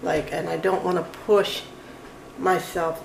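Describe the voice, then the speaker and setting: Audible room echo and noticeable background noise around fairly even intonation. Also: woman. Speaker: vlogger. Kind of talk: casual vlog monologue. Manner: sounds angry, tense tone; anxious, sharp delivery.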